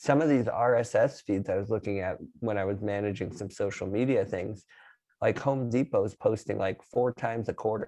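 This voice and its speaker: A man speaks at a medium pitch in a dark, mellow tone with ordinary pitch variation. The background is quiet. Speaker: video production professional. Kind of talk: casual chat. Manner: fast.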